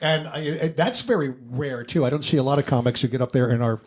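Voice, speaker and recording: Somewhat breathy, a man talks at a fairly quick pace with ordinary pitch variation. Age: 60s. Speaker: stand-up comic. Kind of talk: casual chat.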